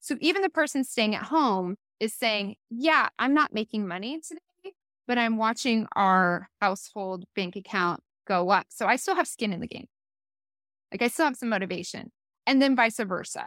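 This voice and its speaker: A woman speaks in an ordinary speaking voice with a fairly high pitch and lively intonation, at a moderate pace. The recording is very clean, with a silent background. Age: 40s. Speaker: style consultant and hairstylist. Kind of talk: casual chat.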